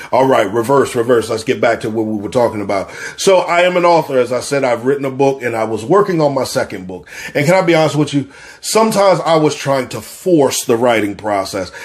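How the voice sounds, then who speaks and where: Talking at a very fast pace, a man with a medium pitch uses lively intonation and an animated tone. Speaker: podcast host. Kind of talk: casual chat.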